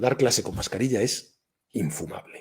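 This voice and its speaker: Lively intonation runs through a man's somewhat breathy voice. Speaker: business school professor giving a talk. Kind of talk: online workshop talk. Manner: conversational with many fillers.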